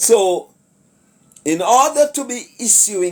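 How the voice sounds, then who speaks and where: A man with a Jamaican accent speaks at a very slow pace with very wide pitch swings, on a very clean recording with a silent background. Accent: Jamaican English with patois. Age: 60s. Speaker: commentator / vlogger. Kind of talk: casual monologue commentary. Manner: hesitant, many fillers.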